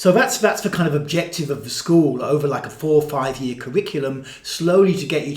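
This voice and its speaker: Moderate-paced male speech with ordinary pitch variation, audible room echo and noticeable background noise. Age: 60s. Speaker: body-based therapy and mysticism teacher. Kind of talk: casual monologue to camera. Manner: repetitive, halting with filler words.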